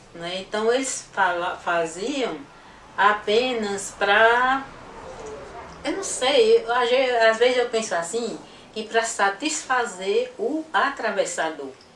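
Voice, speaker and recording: Over audible room echo, the speaker talks at a very slow pace with lively intonation. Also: woman, fairly high pitch for a woman. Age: 70s. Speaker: association founder, artisan. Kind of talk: interview testimony. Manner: halting.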